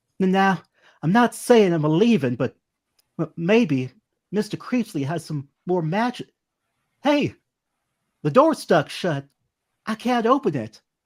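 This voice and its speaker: A shaky, put-on character voice at middle pitch sounds nervous, moving at a fairly slow pace with very wide pitch swings and long, frequent pauses, on a very clean recording with a silent background. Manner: nervous, frightened.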